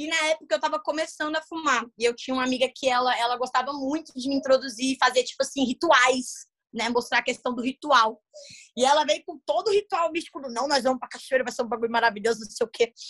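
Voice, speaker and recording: In a dry, close recording with no echo, a woman speaks very fast in a high pitch, with an animated tone and ordinary pitch variation. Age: 20s. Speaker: content creator and voice dubber. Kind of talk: casual chat.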